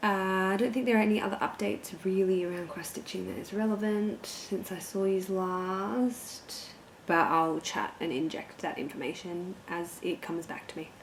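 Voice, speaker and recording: A woman talking at a moderate pace with hardly any pauses, amid noticeable background noise and audible room echo. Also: medium pitch for a woman, ordinary pitch variation. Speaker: cross-stitch vlogger. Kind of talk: casual vlog chat. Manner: animated.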